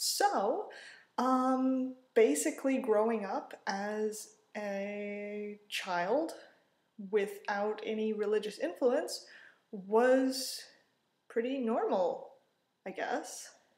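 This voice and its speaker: A woman's fairly high voice with ordinary pitch variation, a very slow pace, long, frequent pauses and audible room echo. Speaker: vlogger. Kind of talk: casual monologue to camera. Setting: at home. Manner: loud.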